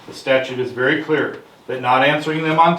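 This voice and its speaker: Over noticeable background noise and audible room echo, a man talks at a fairly quick pace with fairly even intonation. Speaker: investigator. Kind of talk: public comment at council meeting. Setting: city council meeting room. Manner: fast; assertive.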